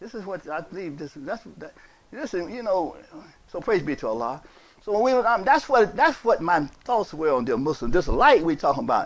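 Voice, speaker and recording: Here a man talks in a high voice at a moderate pace. His pitch swings very wide and his loudness swings a lot. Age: 60s. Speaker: imam. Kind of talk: sermon. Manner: repetitive, emphatic.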